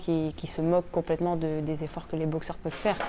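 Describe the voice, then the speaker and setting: This woman has a fairly low voice and a dark, mellow tone. She speaks with a northern French accent. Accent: regional northern French accent, noticeable. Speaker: professional boxer, world champion. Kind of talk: interview, personal reflections. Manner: hesitant, many repetitions and fillers.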